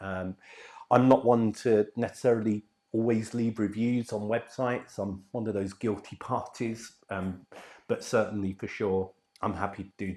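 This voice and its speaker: In a monotone, flat delivery, a man speaks with a dark, mellow tone. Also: fairly low pitch for a man, moderate pace, very clean recording, silent background. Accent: English. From England. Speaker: dental patient. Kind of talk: testimonial. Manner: hesitant, many fillers.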